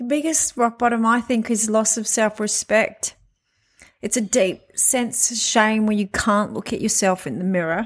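In a plain, everyday voice, a woman speaks at a moderate pace with a fairly high pitch. Her pitch variation is ordinary, and the recording is very clean with a silent background. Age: 40s. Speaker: podcast host sharing recovery story. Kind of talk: personal monologue. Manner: casual and conversational.

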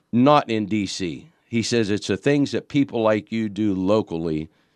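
An ordinary speaking voice with an American accent and ordinary pitch variation. The sound is dry and close with no echo, against a quiet background. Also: man. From Pittsburgh, Pennsylvania. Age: 50s. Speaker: county councilman. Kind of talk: radio interview.

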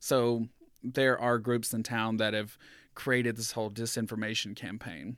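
A man with an American accent and an ordinary speaking voice talks at a medium pitch and a moderate pace with fairly even intonation, on a very clean recording with a silent background. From US South, rural southeast Georgia. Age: 30s. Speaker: school board member. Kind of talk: casual interview. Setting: his office.

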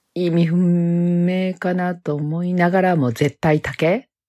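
At a very slow pace, a woman speaks with a fairly low pitch in a dry, close sound with no echo. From Osaka, Japan. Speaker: homemaker, former nurse. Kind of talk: monologue self-introduction.

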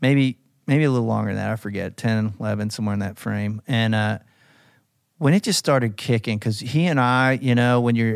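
An unremarkable speaking voice in an American accent talks at a fairly quick pace with fairly even intonation. The recording is very clean, with a silent background. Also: man. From US South (Alabama, Tennessee). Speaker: music publisher. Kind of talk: casual chat.

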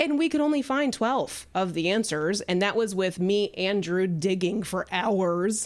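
This woman talks at a fairly slow pace with hardly any pauses, her medium pitch carried by lively intonation and very even loudness. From Kentucky. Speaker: real estate team founder. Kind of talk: casual chat.

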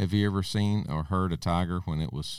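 A man with an Arkansas accent speaks at a moderate pace in a fairly low voice. The recording is very clean, with a silent background. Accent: US Southern, Arkansas. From Arkansas, Logan County. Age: 50s. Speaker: school superintendent. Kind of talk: interview by children.

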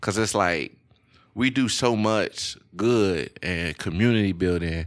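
In a Louisiana accent, a man talks with a fairly low pitch. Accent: Southern US, Louisiana. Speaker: podcast co-host. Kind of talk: casual chat. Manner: animated, relaxed slang.

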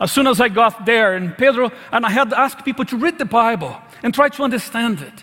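With a raised, projected voice, a man talks at a fairly quick pace in an extremely high pitch with ordinary pitch variation. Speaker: pastor. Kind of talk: sermon. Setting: church.

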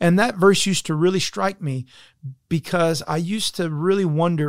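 Fairly high in pitch, the man talks with an American accent and ordinary pitch variation. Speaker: college director and podcast host. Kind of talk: faith-based interview conversation. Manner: enthusiastic.

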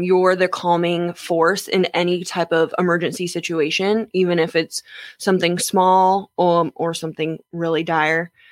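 A woman at a moderate pace in a dry, close sound with no echo. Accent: American. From Jacksonville, Florida. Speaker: athletic trainer. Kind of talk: interview.

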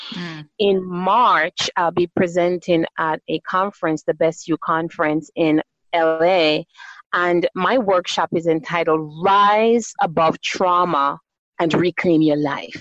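Very slow speech from a woman with a Jamaican accent. Her pitch is fairly low. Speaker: doctor and guest. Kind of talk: interview conversation.

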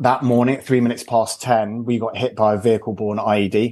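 With a British accent, a man talks at a fairly quick pace in a medium pitch and a dark, mellow tone. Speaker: startup founder and CEO. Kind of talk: casual interview.

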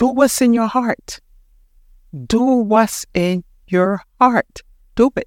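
A woman with a Panamanian accent at a very slow pace, with long, frequent pauses. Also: ordinary pitch variation. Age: 60s. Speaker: podcast host. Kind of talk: motivational talk. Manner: animated.

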